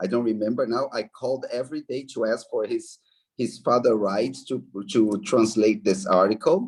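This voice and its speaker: A man with a Brazilian accent speaks at medium pitch and a moderate pace with ordinary pitch variation. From Brazil, Belo Horizonte, Minas Gerais. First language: Portuguese. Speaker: anthropologist, professor. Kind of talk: interview. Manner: halting.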